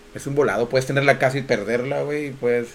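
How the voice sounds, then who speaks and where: This man speaks at a fairly quick pace. His pitch sits in the medium range. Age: 40s. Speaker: podcast co-host. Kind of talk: casual chat.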